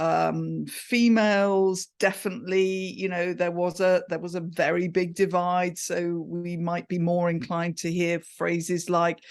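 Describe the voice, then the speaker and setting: Against a quiet background, a woman with an English accent speaks at a fairly low pitch. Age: 60s. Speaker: communication coach. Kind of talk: podcast interview. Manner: animated.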